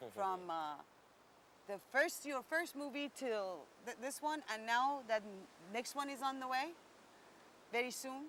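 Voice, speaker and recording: A woman with a slight Indian accent speaks high in pitch with lively intonation, leaving long, frequent pauses. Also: fairly slow pace. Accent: foreign accent, slightly Indian-tinged. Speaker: entertainment interviewer. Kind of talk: interview.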